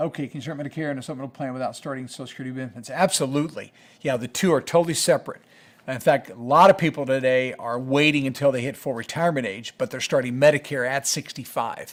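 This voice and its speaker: A man's fairly high voice at a very fast pace, with big swings in loudness, on a very clean recording against a silent background. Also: ordinary pitch variation. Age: 60s. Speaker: Medicare educator. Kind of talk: live Q&A stream. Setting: live stream. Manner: hesitant, many fillers.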